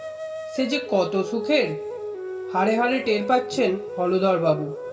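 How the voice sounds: A natural reading voice. That is what this clip has.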